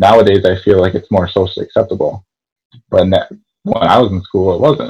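With an American accent, a man speaks in a fairly low, somewhat breathy voice with a dark, mellow tone. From Connecticut, US. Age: 20s. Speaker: Instagram personality, fast food worker. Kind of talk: casual interview chat. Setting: video call.

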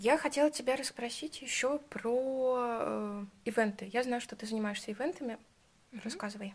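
Big swings in loudness at a moderate pace, with ordinary pitch variation. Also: woman, high pitch for a woman. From Russia, St Petersburg. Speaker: podcast host, tattoo artist. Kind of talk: casual interview.

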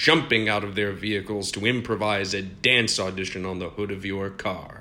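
A man speaks in a dramatic tone. Noticeable background noise runs underneath. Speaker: narrator. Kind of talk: scripted narration. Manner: wry, mock-dramatic.

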